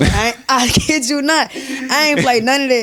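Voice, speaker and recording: Amid noticeable background noise, a woman with an American accent talks at a moderate pace. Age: 20s. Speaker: YouTuber and content creator. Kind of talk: casual interview chat.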